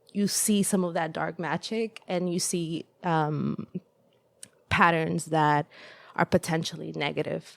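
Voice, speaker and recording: Fairly slowly and with fairly even intonation, a woman speaks in a Spanish accent, the sound dry and close with no echo. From El Salvador. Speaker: podcast guest. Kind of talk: casual conversation. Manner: hesitant, many fillers.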